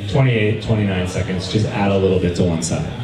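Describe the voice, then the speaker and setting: A man is speaking in a room with audible echo. Background noise is noticeable. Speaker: presenter. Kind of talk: lecture. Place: cafe.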